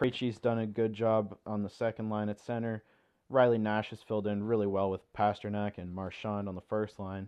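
Speaking at a moderate pace, a man uses a fairly low pitch and monotone, flat intonation. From Ontario, Canada. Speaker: podcast host. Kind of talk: solo sports podcast talk, casual. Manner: monotone, self-described; somewhat halting, nervous first-timer.

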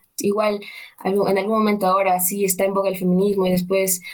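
This woman speaks at a medium pitch. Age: 20s. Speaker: literature student. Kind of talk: interview. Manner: halting.

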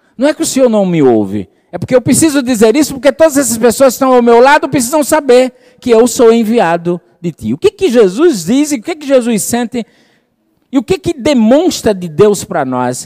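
With a warm tone and lively intonation, a man speaks at a moderate pace in an extremely high voice, the sound dry and close with no echo. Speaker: preacher. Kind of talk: sermon. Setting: church with congregation. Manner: warm, fervent preaching, rhetorical questions to the congregation.

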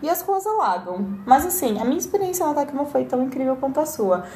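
A woman at a fairly quick pace. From Brazil. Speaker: podcast guest. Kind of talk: casual chat.

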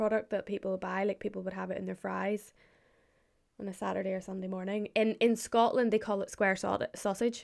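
Northern Irish accent at a moderate pace. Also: woman. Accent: Northern Irish (County Antrim). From Northern Ireland, Glens of Antrim. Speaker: friend of the host. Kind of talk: casual chat.

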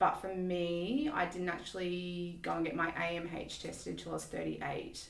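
A woman with an Australian accent speaks at a fairly slow pace with hardly any pauses. Noticeable background noise sits behind her voice. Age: 40s. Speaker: IVF patient and mother. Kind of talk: interview.

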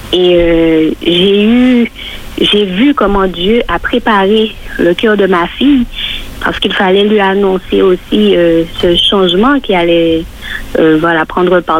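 Noticeable background noise fills the clip. A woman speaks very slowly over it. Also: medium pitch for a woman, ordinary pitch variation, very even loudness. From Martinique. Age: 40s. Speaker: church member. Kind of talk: testimony.

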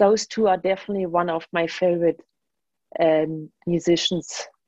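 A woman's dark, mellow voice at a moderate pace, ordinary pitch variation, dry and close with no echo. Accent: German. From Germany. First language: German. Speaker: jazz bass player and composer. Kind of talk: radio interview.

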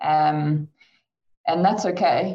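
This woman has an ordinary speaking voice, a fairly low pitch and fairly even intonation. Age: 30s. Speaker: chartered accountant. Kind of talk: online panel discussion.

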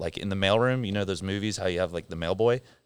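With an American accent, a man with an unremarkable speaking voice talks at a fairly low pitch and fairly even intonation on a very clean recording with a silent background. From southern California, San Clemente. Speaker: gym head coach. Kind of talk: casual interview chat. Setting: studio podcast.

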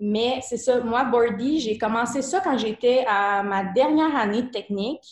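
A woman with a Quebec accent speaks at a high pitch and a fairly slow pace, with ordinary pitch variation. She leaves hardly any pauses, and the background is quiet. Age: 20s. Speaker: fashion entrepreneur. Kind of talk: interview.

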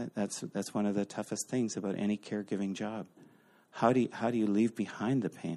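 With a Canadian accent, a man speaks fairly quickly in a fairly low, dark, mellow tone and a monotone, flat intonation. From Eastern Canada. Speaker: visiting speaker. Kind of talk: sermon. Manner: halting.

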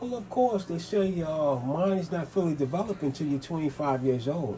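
Noticeable background noise sits behind this recording. A man speaks over it at a moderate pace. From New York City (Manhattan and the Bronx). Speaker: interviewee. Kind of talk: interview. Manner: halting, many fillers.

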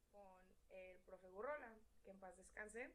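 Her voice carries audible room echo. The speaker is a woman. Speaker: podcast guest. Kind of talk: casual chat.

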